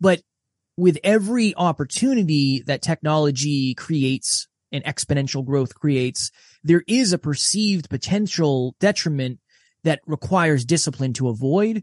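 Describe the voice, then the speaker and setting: A man with a fairly high pitch speaks at a moderate pace, his intonation lively and his voice somewhat breathy. The sound is dry and close with no echo, over a quiet background. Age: 30s. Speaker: podcast host and self-improvement coach. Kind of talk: interview conversation. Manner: animated.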